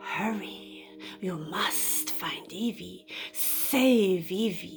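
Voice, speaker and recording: Clear music plays in the background as a put-on character voice talks at a very slow pace. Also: woman, medium pitch for a woman. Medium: read story. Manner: insistent, menacing.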